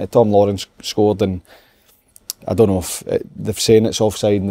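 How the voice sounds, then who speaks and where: In a dry, close sound with no echo, a man speaks with a dark, mellow tone at a fairly low pitch, his intonation flat and monotone. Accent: Scottish. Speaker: football pundit. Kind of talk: casual chat.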